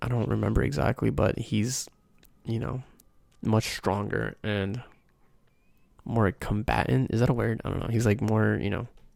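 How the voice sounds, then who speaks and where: A soft-spoken man talks at a moderate pace with an American accent. He leaves long, frequent pauses. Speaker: ASMR creator. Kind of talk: casual talk to camera, soft-spoken anime recommendations. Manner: soft-spoken, rambling.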